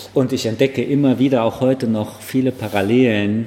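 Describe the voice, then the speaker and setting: A man keeps a moderate speed and fairly even intonation, with noticeable noise in the background. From Frankfurt am Main, Bornheim. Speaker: chef and restaurant owner. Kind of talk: casual interview. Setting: in restaurant, first garden then indoors. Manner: hesitant fillers (äh).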